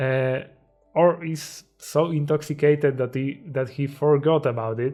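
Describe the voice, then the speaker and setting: Music plays in the background. A man with a fairly high pitch speaks in a Polish accent. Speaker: self-improvement YouTuber. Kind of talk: motivational talk. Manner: halting.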